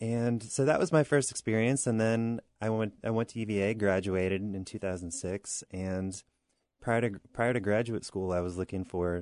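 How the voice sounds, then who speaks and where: This man has an unremarkable speaking voice, a fairly low pitch and an American accent, talking at a fairly quick pace with fairly even intonation. The sound is dry and close with no echo against a quiet background. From Southern New York. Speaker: winemaker. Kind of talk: interview answers. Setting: radio studio.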